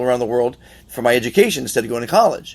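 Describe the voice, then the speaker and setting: A man speaks at a medium pitch. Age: 60s. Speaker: podcast host. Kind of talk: casual interview chat. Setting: on a yacht. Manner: halting, with many restarts.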